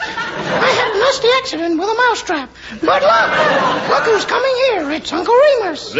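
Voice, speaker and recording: Amid loud background noise, a squeaky put-on character voice at an extremely high pitch speaks at a moderate pace. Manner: comical, sheepish.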